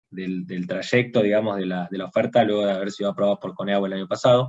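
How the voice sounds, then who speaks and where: With a Rioplatense accent, a man speaks at a fairly quick pace. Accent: Argentine Rioplatense Spanish. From Argentina, Bahía Blanca. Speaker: international relations professional. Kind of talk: panel talk on video call. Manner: halting, many repetitions and fillers.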